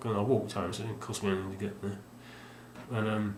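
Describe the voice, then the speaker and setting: Mumbling at a very fast pace, a man speaks in a fairly low, monotone, flat voice amid audible room echo and noticeable background noise. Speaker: video game collector vlogger. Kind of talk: casual vlog monologue. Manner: halting, many fillers.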